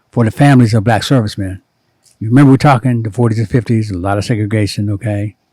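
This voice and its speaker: Talking at a very fast pace, a man with an American accent has a medium-pitched, somewhat breathy voice with a dark, mellow tone and ordinary pitch variation. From US Midwest, Cincinnati, Ohio. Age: 70s. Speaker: former doctor, spiritual guide to artists. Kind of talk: interview, personal life story.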